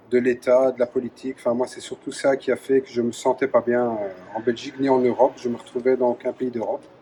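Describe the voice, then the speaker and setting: With hardly any pauses, a man talks in a monotone, flat intonation at a medium pitch, his loudness swinging widely against noticeable background noise. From Belgium, Charleroi (Wallonia). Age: 40s. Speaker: former soldier running a creperie. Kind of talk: interview testimony. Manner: hesitant, many fillers.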